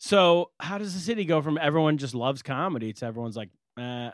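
With an American accent, a man talks fairly quickly in a normal speaking voice, pitched fairly high, with lively intonation. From California. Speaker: comedian and podcast co-host. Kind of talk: casual chat.

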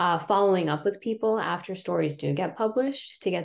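A woman's voice, with vocal fry, comes through over a quiet background. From Ohio, US Midwest. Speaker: journalist. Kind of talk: interview.

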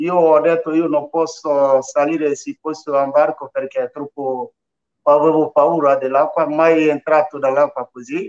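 A fairly slow man's voice, fairly high in pitch, with monotone, flat intonation. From northern Ivory Coast. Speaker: migrant sharing life story. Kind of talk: radio interview, testimony. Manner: halting.

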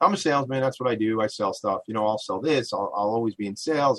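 Very fast speech comes from a man with an American accent and a medium pitch. Pitch variation is ordinary, and the sound is dry and close with no echo. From Long Island, New York. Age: 40s. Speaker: radio talk show host. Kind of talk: interview talk show. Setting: home attic studio. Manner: loud, energetic.

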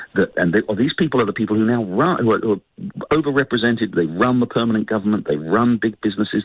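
A man with a British accent talks at a very fast pace. His medium pitch shows ordinary pitch variation. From United Kingdom. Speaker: newspaper editor and author. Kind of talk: radio interview.

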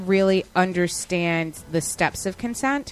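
Speaking slowly-ish in a normal speaking voice, a woman with an American accent uses a medium pitch and ordinary pitch variation. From New York, Westchester. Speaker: podcast host. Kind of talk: casual chat.

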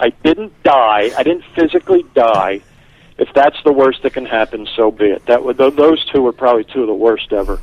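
This man has an unremarkable speaking voice at a medium pitch. He moves at a moderate pace with ordinary pitch variation. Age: 50s. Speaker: stand-up comedian. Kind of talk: casual chat.

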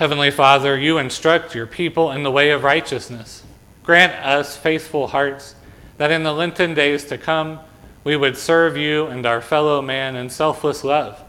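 A man's unremarkable speaking voice, fairly high in pitch, at a fairly slow pace with fairly even intonation. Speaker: pastor. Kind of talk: liturgical worship service: prayers, responsive reading, blessing. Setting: church. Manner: fervent, solemn, earnest prayer in a pleading, heartfelt tone.

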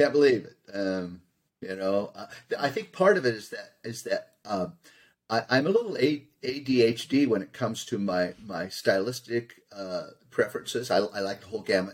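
A man with an American accent has a normal speaking voice at medium pitch, talking at a moderate pace. His intonation is lively, and his loudness swings widely. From Southern California. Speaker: choral composer and arranger. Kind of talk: interview.

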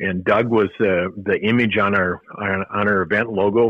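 A man's fairly low-pitched voice, a normal speaking voice, with fairly even intonation at a moderate pace. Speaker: retired race director. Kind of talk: casual interview.

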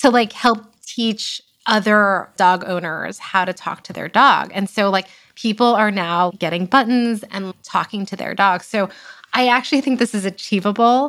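In a very clean recording with a silent background, a woman with an unremarkable speaking voice talks at a moderate pace and medium pitch, with ordinary pitch variation and big swings in loudness. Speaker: startup founder. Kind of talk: casual interview chat.

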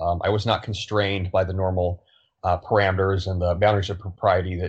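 A man's very deep, low voice, somewhat breathy and monotone, delivered at a very fast pace. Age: 30s. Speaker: fitness trainer and social media commentator. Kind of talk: casual chat.

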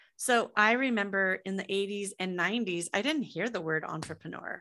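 A woman with a Midwestern American accent speaks at a moderate pace in a medium-pitched, bright and sharp voice with lively intonation against a quiet background. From US Midwest, Des Moines, Iowa. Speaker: entrepreneur and author. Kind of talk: podcast interview.

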